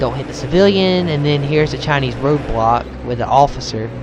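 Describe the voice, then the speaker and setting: Medium pitch from a man, with audible room echo and noticeable background noise. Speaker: gaming video creator. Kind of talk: let's play commentary. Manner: hesitant, many fillers.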